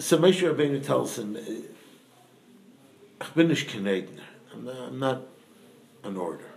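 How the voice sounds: Amid strong room echo, a man speaks at a fairly slow pace with a medium pitch, a slightly mellow tone, vocal fry and lively intonation.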